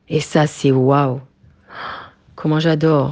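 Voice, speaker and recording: Very slowly, a woman speaks in a very deep, low pitch. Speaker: Torah teacher for women. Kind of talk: religious lecture. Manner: animated.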